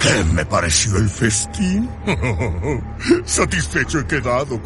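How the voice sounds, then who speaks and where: A man uses a put-on character voice with a fairly low pitch. He talks at a fairly slow pace over loud background music. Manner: courteous, smooth, sly, melodic; gloating, mocking at the end.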